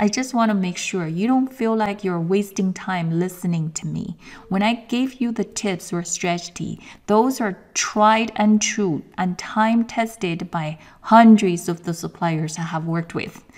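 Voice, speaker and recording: A woman with a Chinese accent at a fairly slow pace. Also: medium pitch for a woman, ordinary pitch variation. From China. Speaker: sourcing coach and course instructor. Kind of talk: webinar presentation and sales pitch. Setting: online webinar, camera off. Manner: enthusiastic.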